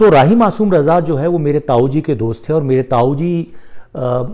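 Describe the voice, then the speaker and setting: A man speaks with a Marathi accent. His pitch varies in an ordinary way. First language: Marathi (speaking Hindi). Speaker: poet and former journalist. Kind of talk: personal talk on Facebook live. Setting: Facebook live.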